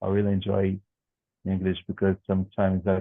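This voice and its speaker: A man's very deep, low voice with a Brazilian Portuguese accent. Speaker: English student. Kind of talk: language class conversation. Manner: halting, repetitive.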